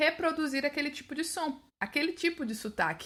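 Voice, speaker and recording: A woman's bright, sharp voice at a moderate pace, in a very clean recording with a silent background. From Brazil, São Paulo and Sergipe. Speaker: English teacher and podcaster. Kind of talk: podcast monologue. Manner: casual, conversational.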